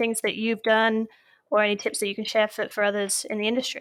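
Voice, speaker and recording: A woman with a British accent speaks very fast at a fairly high pitch in a monotone, flat intonation, in a very clean recording with a silent background. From United Kingdom. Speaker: podcast host. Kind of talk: interview.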